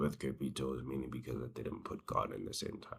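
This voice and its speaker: With vocal fry, a man speaks at a very deep, low pitch. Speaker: small business owner, vlogger. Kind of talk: casual vlog monologue. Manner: casual, hesitant with fillers.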